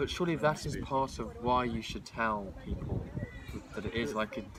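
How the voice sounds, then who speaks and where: Lively intonation runs through a man's medium-pitched voice at a moderate pace. Noticeable background noise sits behind him. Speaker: person who stutters, student. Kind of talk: casual chat. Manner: stutters.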